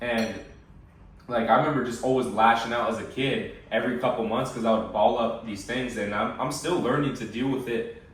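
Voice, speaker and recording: A man with an American accent speaks at a medium pitch and fairly even intonation, amid audible room echo and noticeable background noise. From USA. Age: 20s. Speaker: fitness coach. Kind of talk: casual chat. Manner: halting.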